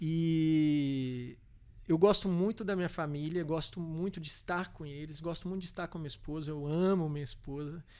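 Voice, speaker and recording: A man with a Minas Gerais accent speaks at a moderate pace, his fairly high voice dark and mellow in tone. His intonation is fairly even, though his loudness swings widely. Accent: mineiro. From Brazil, Minas Gerais (Belo Horizonte). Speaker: corporate legal and tax director. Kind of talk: podcast interview. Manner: halting, many fillers.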